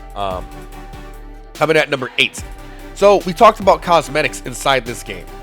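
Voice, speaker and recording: With music in the background, a man with a fairly high pitch talks at a fairly quick pace. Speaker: gaming video creator. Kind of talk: casual game tips talk to viewers. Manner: casual, conversational.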